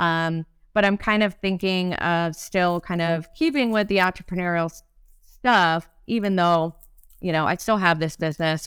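With an unremarkable speaking voice, a woman talks at a moderate pace with fairly low pitch and fairly even intonation, on a very clean recording with a silent background. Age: 40s. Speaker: entrepreneur, co-founder of a back office support business. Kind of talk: casual interview conversation.

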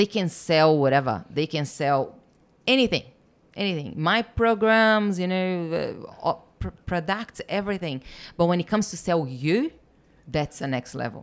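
In a very clean recording with a silent background, a woman with a Portuguese accent speaks in an animated tone with lively intonation. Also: moderate pace. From Brazil. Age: 30s. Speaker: business mentor. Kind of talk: casual chat.

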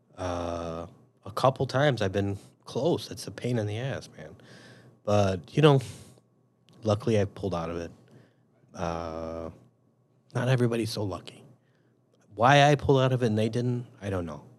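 Speaking with a Chicago accent, a man uses a fairly low pitch and lively intonation, his loudness swinging widely. His pace is moderate, with long, frequent pauses. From Chicago, Northwest side. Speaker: police officer. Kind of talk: casual interview.

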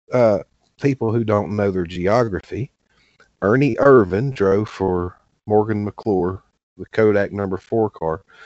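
Fairly slow, fairly low male speech with a Southern US accent and ordinary pitch variation. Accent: Southern American. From US South, southwest Virginia. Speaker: podcast co-host. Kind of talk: casual chat.

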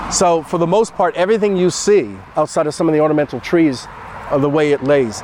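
A man's fairly high voice with lively intonation at a very fast pace, over noticeable background noise. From Newport, Rhode Island. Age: 60s. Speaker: historian and heritage advisor. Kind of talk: guided walking tour interview. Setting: outdoors in a cemetery.

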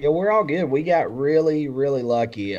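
This is a man's voice. He speaks with an Alabama accent. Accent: US Southern (Alabama). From Alabama, Randolph County. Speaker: country music singer. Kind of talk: casual chat. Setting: video call.

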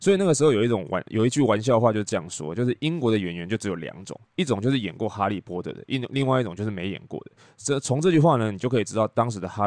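A man with a Taiwanese accent and a fairly low pitch speaks at a very fast pace with hardly any pauses, lively intonation, and big swings in loudness. The sound is dry and close with no echo, against a quiet background. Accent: Taiwanese Mandarin. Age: middle-aged. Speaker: podcast host and tour leader. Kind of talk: casual monologue.

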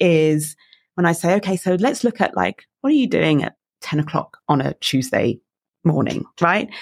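In a dry, close sound with no echo, a woman with an English accent speaks with very wide pitch swings. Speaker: coach and keynote speaker. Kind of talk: interview.

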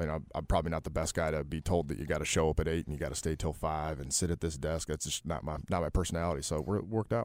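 With a Midwestern US accent, a man with a very deep, low voice and vocal fry talks at a very fast pace with fairly even intonation. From Detroit, Michigan. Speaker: CFO of a family business. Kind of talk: casual interview chat. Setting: studio with radio headphones.

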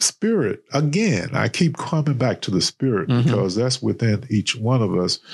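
Speaking in a North Carolina accent, a man at medium pitch makes very wide pitch swings. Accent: Southern American (North Carolina). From US South, eastern North Carolina. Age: 60s. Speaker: author and retired professor. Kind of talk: interview. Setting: studio.

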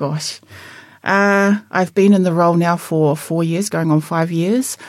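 Speaking with a New Zealand accent, a woman with a fairly low pitch keeps a fairly even intonation on a very clean recording with a silent background. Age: 50s. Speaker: local politician. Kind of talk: interview.

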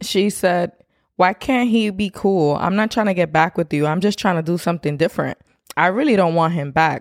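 A woman uses a normal speaking voice, fairly low in pitch, at a fairly quick pace. Her pitch varies ordinarily in a dry, close sound with no echo. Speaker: podcast co-host. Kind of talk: casual chat.

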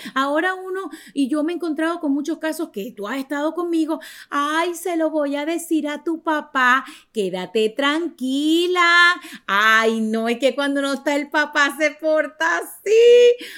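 On a very clean recording with a silent background, a woman speaks fairly slowly in a high, bright, sharp voice with lively intonation. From Venezuela. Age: 40s. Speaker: podcast host. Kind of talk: casual chat. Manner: animated.

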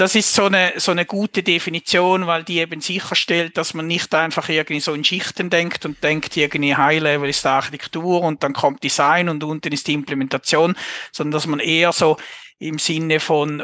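With a Swiss accent, this man has a fairly high pitch and a bright, sharp tone, talking at a moderate pace with fairly even intonation in a dry, close recording free of echo. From Switzerland. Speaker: software architecture consultant. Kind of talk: casual interview.

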